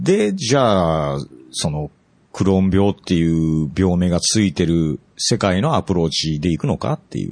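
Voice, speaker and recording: Moderate pacing and ordinary pitch variation from a man with a very deep, low pitch. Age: 50s. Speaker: music engineer. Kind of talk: casual chat.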